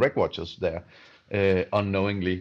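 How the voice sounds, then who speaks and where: In a Danish accent, a man speaks at a fairly low pitch over a quiet background. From southern Denmark. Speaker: watch company co-founder. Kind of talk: casual interview. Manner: halting, many fillers.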